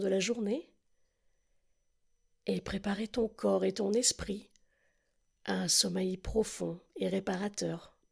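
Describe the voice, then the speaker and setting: This is a woman talking. Her pace is very slow. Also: long, frequent pauses. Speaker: relaxation guide. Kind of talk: guided sleep relaxation. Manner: slow, soft-spoken.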